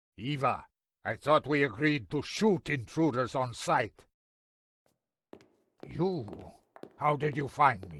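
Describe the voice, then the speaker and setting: At a fairly slow pace with long, frequent pauses, a man does a put-on character voice at a fairly high pitch, his loudness swinging widely and his intonation lively. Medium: video game. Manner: stern, proud.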